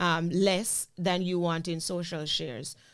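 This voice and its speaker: The recording is very clean, with a silent background. A woman speaks at a fairly low pitch in a monotone, flat intonation. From Jamaica. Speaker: content creator and former teacher. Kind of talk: interview chat.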